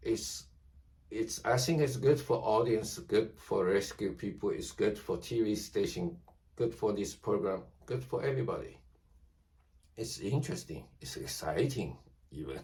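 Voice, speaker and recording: Long, frequent pauses in a non-native accent. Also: man, moderate pace. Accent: non-native English speaker. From China. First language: Chinese. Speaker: YouTuber. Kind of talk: casual monologue to camera. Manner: halting.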